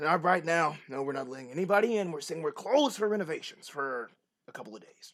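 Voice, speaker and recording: In a put-on character voice, a man speaks very fast with a raspy, high pitch. His loudness swings widely. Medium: actual play.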